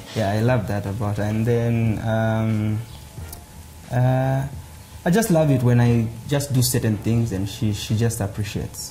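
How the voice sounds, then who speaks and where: Speaking at a fairly slow pace with long, frequent pauses, a man with a medium pitch is heard over noticeable background noise and audible room echo. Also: fairly even intonation. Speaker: comedian. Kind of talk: casual interview. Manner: loud; hesitant, filler words.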